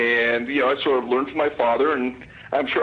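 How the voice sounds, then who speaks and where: A man with a Canadian accent, very fast and monotone at a medium pitch, over noticeable background noise. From Canada. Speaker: poker historian. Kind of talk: radio interview.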